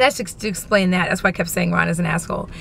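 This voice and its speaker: This woman's loud, animated voice sits at a medium pitch and has a bright, sharp tone. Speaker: vlogger. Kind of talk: casual vlog chat.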